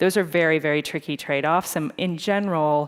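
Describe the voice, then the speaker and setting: A woman with an American accent in a normal speaking voice, at a fairly quick pace with fairly even intonation. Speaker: tech company executive. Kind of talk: on-stage interview.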